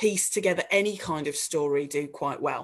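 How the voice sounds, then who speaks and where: The speaker talks at a moderate pace in a West Midlands accent. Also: woman. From West Midlands, England (Dudley). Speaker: local politician. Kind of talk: panel discussion.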